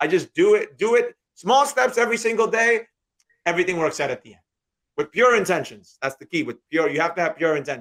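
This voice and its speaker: A man with a New York accent talks at a very fast pace and a high pitch. His pitch swings very widely, and his loudness rises and falls sharply. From New York, Queens. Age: 30s. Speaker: day trader and trading teacher. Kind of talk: interview.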